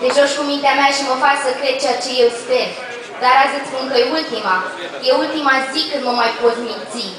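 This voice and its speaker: With audible room echo and noticeable background noise, a high-pitched woman speaks at a moderate pace with fairly even intonation. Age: young. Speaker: slam poet. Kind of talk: poetry performance. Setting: pub stage with audience.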